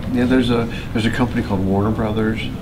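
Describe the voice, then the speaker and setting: A man speaks over loud background noise. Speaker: interviewee. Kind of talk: interview answer. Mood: warm, amused. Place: hall. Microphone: camera far.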